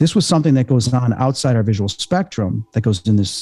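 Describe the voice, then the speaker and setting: In an American accent, this voice moves at a very fast pace with ordinary pitch variation. Its tone is dark and mellow, and somewhat breathy. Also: man. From Chicago, US Midwest. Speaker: paranormal investigator and medium. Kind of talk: casual interview chat.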